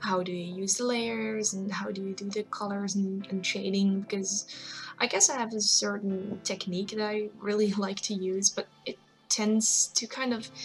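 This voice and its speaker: A woman of medium pitch talks at a moderate pace with fairly even intonation as music plays in the background. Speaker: digital artist. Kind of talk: casual tutorial talk to camera. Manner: hesitant, casual.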